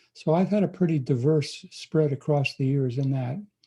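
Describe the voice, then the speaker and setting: The voice is somewhat breathy with a dark, mellow tone. It moves at a moderate pace with ordinary pitch variation. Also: man. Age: 80s+. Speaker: pastor. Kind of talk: interview.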